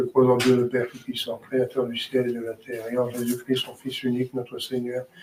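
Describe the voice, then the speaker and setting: A man talks at a fairly quick pace in a medium pitch, with monotone, flat intonation and hardly any pauses. His loudness swings widely, and there is noticeable background noise. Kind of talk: rosary prayer led aloud.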